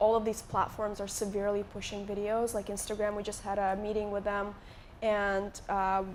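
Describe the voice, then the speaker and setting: In an Eastern European accent, a woman talks at a moderate pace and medium pitch with monotone, flat intonation, and audible room echo surrounds her. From Moldova. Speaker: YouTuber. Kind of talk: live interview on stage. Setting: stage with audience.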